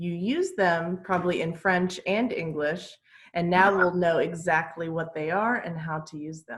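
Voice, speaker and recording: A woman talks with a fairly low pitch and fairly even intonation. Her voice is somewhat breathy. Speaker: English teacher. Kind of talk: online class lesson.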